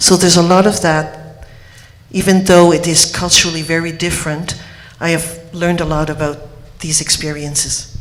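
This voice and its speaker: The speaker has a Quebec accent and a monotone, flat intonation, talking at a moderate pace with long, frequent pauses. Audible room echo and noticeable background noise fill the recording. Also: woman, fairly low pitch for a woman. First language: French. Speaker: homeopath. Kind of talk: conference speech.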